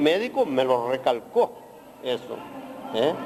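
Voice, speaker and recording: Over noticeable background noise, a man talks at a fairly slow pace with very wide pitch swings. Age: 60s. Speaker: emigrant interviewee. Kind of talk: interview.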